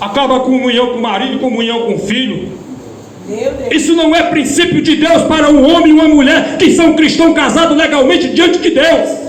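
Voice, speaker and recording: Loud and extremely high-pitched, a man speaks over noticeable background noise with audible room echo. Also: ordinary pitch variation, moderate pace. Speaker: preacher. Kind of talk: sermon. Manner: loud, forceful preaching.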